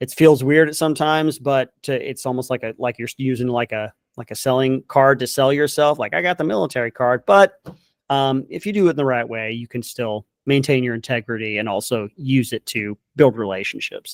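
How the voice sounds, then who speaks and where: A man at medium pitch, ordinary pitch variation and a fairly quick pace, in a dry, close sound with no echo. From Southern California. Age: 40s. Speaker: military veteran and content creator. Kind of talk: interview conversation.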